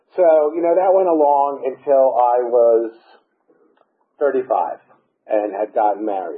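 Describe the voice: A man speaks with an American accent at a fairly slow pace. His voice has a slightly husky edge and fairly even intonation.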